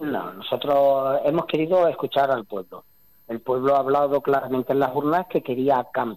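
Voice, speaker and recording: Recorded with a dry, close sound and no echo, a man talks at a moderate pace in a fairly high pitch with ordinary pitch variation. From Spain, Andalusia (Jaén). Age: 40s. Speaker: mayor. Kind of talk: interview. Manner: halting.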